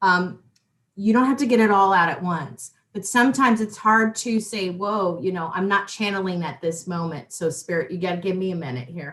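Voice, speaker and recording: A woman with a plain, everyday voice talks at a fairly quick pace with a medium pitch and lively intonation. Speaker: psychic talk show host. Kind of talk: casual interview chat. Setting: live online show.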